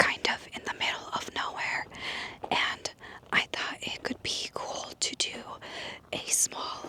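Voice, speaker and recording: A very slow whisper under noticeable background noise, with long, frequent pauses. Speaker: ASMR creator. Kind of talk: casual talk to camera, outdoor ASMR walk. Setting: outdoors in open desert. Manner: soft-spoken, whispering.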